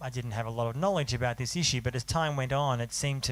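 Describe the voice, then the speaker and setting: A man speaks at a medium pitch with an Australian accent. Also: very clean recording, silent background. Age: 40s. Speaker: journalist and author. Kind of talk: panel talk.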